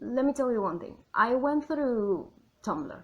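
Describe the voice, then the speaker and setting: A woman speaks with a Spanish accent. Her intonation is lively. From Argentina. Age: adult. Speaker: YouTuber and writer. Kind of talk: casual vlog commentary. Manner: chatty, many fillers.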